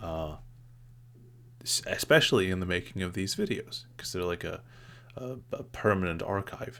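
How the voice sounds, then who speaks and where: A soft-spoken man with a fairly low pitch talks at a moderate pace, leaving long, frequent pauses. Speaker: YouTuber. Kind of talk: personal vlog monologue. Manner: halting, many fillers.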